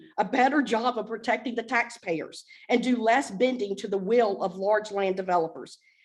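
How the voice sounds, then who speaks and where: Speaking at a moderate pace, a woman with an American accent uses a fairly high pitch with ordinary variation. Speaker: public commenter. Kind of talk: public comment. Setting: council meeting, podium. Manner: loud.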